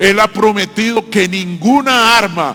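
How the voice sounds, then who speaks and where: A man speaks in a raised, projected voice at a high pitch and fairly slow pace. His pitch variation is ordinary, and background noise is noticeable. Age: 60s. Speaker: pastor. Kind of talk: sermon.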